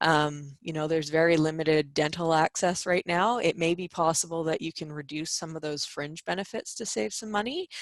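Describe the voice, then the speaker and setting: Speaking at a fairly quick pace with hardly any pauses, a woman uses an ordinary speaking voice that is fairly low in pitch, with ordinary pitch variation, against a quiet background. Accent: Canadian. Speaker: employment lawyer. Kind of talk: webinar presentation.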